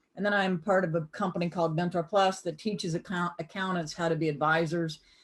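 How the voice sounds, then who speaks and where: Against a quiet background, a woman with a Southern US accent and a fairly low pitch talks at a very fast pace. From US South (Greenville, South Carolina). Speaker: accountant and business speaker teaching a class. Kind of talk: online lecture. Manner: animated.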